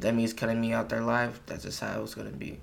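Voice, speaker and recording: Speaking at a medium pitch, a man's voice picks up audible room echo. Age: young. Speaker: podcast host. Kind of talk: solo casual monologue. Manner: casual, hesitant with many fillers.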